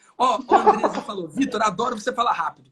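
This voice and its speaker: Talking at a very fast pace, a man uses an extremely high voice with an animated tone. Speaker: digital marketing entrepreneur. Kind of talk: live interview.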